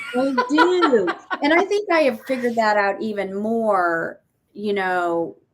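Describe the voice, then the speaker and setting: A woman at a fairly slow pace, fairly high in pitch, with very wide pitch swings. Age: 50s. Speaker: parenting coach and former teacher. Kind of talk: casual interview chat.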